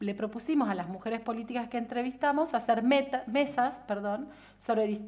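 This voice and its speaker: Delivered at a moderate pace in a Rioplatense accent, the speech shows ordinary pitch variation. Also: woman. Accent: Argentine Rioplatense Spanish. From Argentina, Viedma (Río Negro). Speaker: political scientist and researcher. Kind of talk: casual interview.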